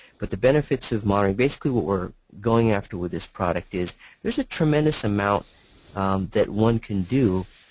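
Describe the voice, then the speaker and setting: A man with a fairly low pitch speaks at a fairly quick pace, using ordinary pitch variation. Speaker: product presenter. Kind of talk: webinar presentation. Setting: online webinar. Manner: fast.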